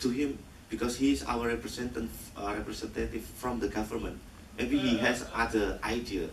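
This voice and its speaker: The pace is moderate. Audible room echo and noticeable background noise fill the recording. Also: man. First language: Indonesian. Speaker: film director. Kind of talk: post-screening Q&A. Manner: halting.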